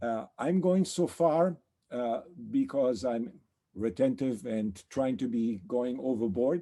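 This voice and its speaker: A man speaks fairly slowly in a dark, mellow tone. His pitch swings very widely. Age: 70s. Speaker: periodontist. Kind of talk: webinar presentation. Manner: halting with fillers.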